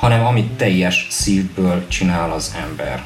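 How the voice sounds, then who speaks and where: A man speaks with lively intonation at a fairly low pitch. Audible room echo and noticeable background noise surround his voice. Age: 30s. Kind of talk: radio interview.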